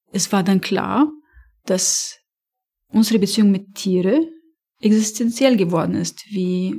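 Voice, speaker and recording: Speaking at a very slow pace, a woman has a dark, mellow tone, a medium pitch, and a somewhat breathy sound. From Lebanon, Beirut. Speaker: animal welfare campaigner. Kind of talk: interview.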